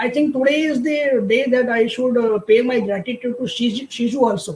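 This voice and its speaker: A man speaks with a Marathi accent and an extremely high pitch. His pace is fairly quick. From India, Maharashtra. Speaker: career counsellor. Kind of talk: webinar interview. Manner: halting, many fillers.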